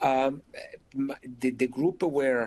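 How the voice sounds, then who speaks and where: With an Italian accent, a man speaks in a fairly even intonation against a quiet background. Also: dry, close sound with no echo. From Italy. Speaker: intensive care doctor. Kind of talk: lecture. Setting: video webinar. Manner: hesitant, many fillers.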